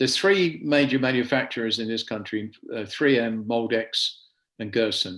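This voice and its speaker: A man's medium-pitched voice with an English accent, a moderate pace and ordinary pitch variation. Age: 70s. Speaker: safety equipment seller. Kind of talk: product presentation.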